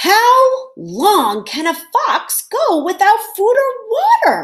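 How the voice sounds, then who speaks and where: In a squeaky put-on character voice, a woman speaks at a very slow pace with extremely high pitch. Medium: read story. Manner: jeering.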